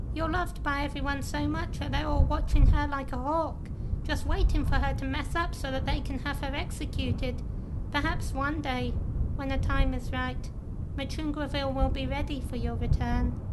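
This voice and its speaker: A female-sounding voice performs a put-on character voice at a moderate pace. Loud background noise fills the recording. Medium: machinima. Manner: earnest, sincere.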